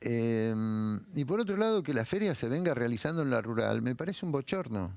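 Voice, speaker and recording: A man speaks at medium pitch with very wide pitch swings and very even loudness. Noticeable background noise runs under the recording. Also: moderate pace. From Buenos Aires, Argentina (Mataderos). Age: 70s. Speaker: writer. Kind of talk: interview. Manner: animated.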